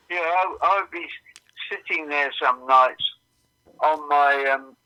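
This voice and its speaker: Talking at a fairly slow pace, a man has a fairly high pitch, a bright, sharp tone, and ordinary pitch variation. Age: 70s. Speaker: musician. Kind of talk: casual chat. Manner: halting, repeats words.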